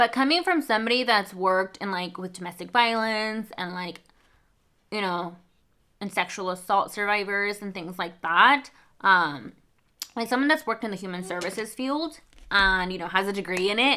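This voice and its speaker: On a very clean recording with a silent background, a woman with a Spanish accent speaks at a medium pitch in a bright, sharp tone, with ordinary pitch variation and big swings in loudness. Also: moderate pace. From Mexico. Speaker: book vlogger. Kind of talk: casual chat.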